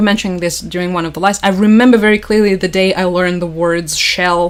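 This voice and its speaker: A woman with a Russian accent at a fairly quick pace. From Crimea, southern Ukraine. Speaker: political news commentator. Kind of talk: livestream commentary. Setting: livestream. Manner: casual, filler-heavy.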